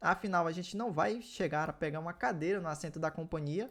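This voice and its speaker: The delivery is very fast with lively intonation, on a very clean recording with a silent background. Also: man. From northern Brazil, small inland town. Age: 20s. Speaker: finance YouTuber. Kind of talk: personal finance vlog.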